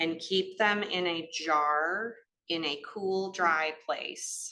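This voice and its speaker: Here is a woman with a strong Cleveland accent. Her tone is bright and sharp. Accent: northern US, Cleveland accent, still strong. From US Midwest, Cleveland. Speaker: gardening educator. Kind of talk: lecture.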